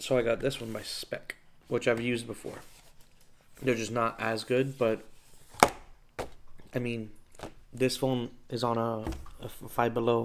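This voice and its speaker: Noticeable background noise sits behind a man speaking at a fairly slow pace. His intonation is monotone and flat, with long, frequent pauses. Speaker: vlogger. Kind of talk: casual vlog chat. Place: home room. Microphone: phone near.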